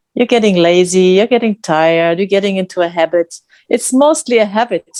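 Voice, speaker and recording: In a dry, close sound with no echo, a woman with a medium pitch and a non-native accent speaks at a fairly quick pace. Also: ordinary pitch variation, very even loudness. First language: not English. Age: 50s. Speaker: challenge participant. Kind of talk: group video call sharing. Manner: halting.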